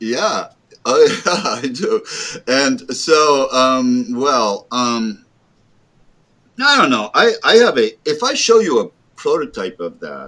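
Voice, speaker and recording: A man speaks in an American accent at a very slow pace. He leaves long, frequent pauses. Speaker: board game designer. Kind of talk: interview. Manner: halting, many fillers.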